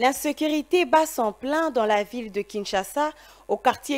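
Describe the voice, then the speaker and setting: With lively intonation, the speaker moves along at a fairly slow pace. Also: woman. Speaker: news anchor. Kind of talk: news reading, formal studio bulletin. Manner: formal, measured, steady newsreader delivery. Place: studio.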